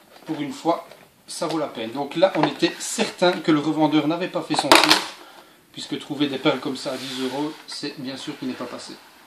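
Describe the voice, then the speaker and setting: Loud noise sits behind the speech. The man talks at a moderate pace. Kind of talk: casual vlog chat. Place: home room.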